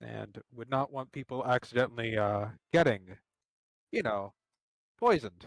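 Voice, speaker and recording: A man speaks quietly at a moderate pace with a medium pitch, ordinary pitch variation, big swings in loudness and long, frequent pauses, in a dry, close recording with no echo. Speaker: tabletop role-player. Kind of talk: role-play description during live game. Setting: live stream.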